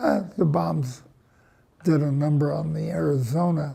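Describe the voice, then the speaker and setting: A man with an American accent talks at a fairly slow pace, his fairly high voice somewhat breathy and dark and mellow in tone. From Los Angeles, East LA. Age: 80s+. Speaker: war veteran. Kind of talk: oral history interview. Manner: halting, many fillers.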